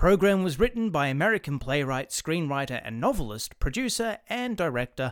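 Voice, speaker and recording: A man uses a theatrical tone at a fairly high pitch with very wide pitch swings and a moderate pace. The recording is very clean, with a silent background. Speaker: radio drama host. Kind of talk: old-time radio announcer introduction. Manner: formal, theatrical, mock-grand announcer.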